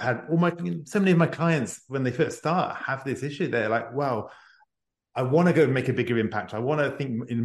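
Somewhat breathy, a man talks at a medium pitch, and his pitch varies in an ordinary way. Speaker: executive advisor and author. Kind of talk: interview conversation. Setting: remote call from near Paris.

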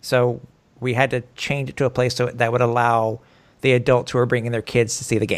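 On a very clean recording with a silent background, a man speaks fairly quickly at medium pitch with monotone, flat intonation. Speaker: podcast host. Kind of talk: casual sports podcast chat. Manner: chatty, informal.

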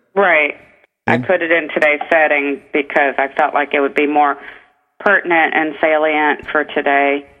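Over music in the background, a woman with a very deep, low pitch speaks at a moderate pace in a monotone, flat intonation with very even loudness. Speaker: author. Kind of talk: radio interview about her book.

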